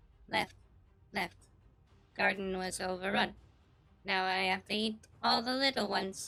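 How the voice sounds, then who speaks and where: Someone puts on a character voice at a middle pitch and a moderate pace, leaving long, frequent pauses. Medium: actual play. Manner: short broken phrases, simple-minded.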